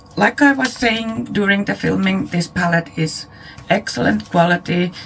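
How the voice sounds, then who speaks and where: Over noticeable background noise, a woman speaks quietly at a moderate pace with lively intonation. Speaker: beauty YouTuber. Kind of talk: product review.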